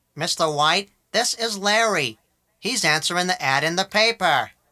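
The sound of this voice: A put-on character voice sits at a middle pitch and keeps a moderate pace. The recording is very clean, with a silent background.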